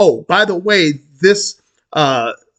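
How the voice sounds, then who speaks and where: The sound is dry and close with no echo. A man speaks at a high pitch with lively intonation. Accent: New York. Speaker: credit union advocate, finance YouTuber. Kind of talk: tutorial. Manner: halting, many fillers.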